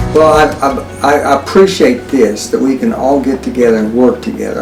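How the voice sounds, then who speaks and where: Over music in the background, a man with a fairly high pitch and lively intonation speaks amid audible room echo. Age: 70s. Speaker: pastor. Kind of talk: interview. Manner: halting, many fillers and repeats.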